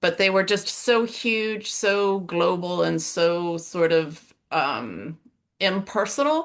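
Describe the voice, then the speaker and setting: The speaker has an American accent and ordinary pitch variation, heard over a quiet background. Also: woman. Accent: sounds American. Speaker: coaching client. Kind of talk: interview testimony. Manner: halting, many fillers.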